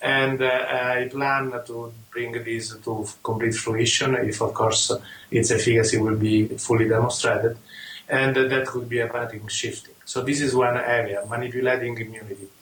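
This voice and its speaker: Talking at a moderate pace in a monotone, flat intonation, a man of medium pitch speaks with an Italian accent over noticeable background noise and audible room echo. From Italy. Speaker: rheumatologist and immunologist. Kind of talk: interview. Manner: halting, many fillers.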